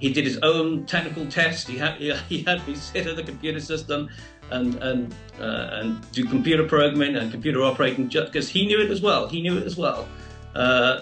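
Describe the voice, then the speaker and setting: Over faint background music and audible room echo, a man talks at a fairly quick pace with ordinary pitch variation. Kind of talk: interview answer. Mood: warm, reminiscing. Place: home room. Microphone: video call.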